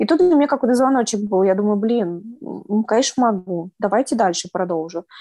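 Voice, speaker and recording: A woman's dark, mellow voice with very wide pitch swings, in a dry, close sound with no echo. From Moscow region, Russia. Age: 30s. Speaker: former prisoner, blogger, nail technician. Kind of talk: interview testimony.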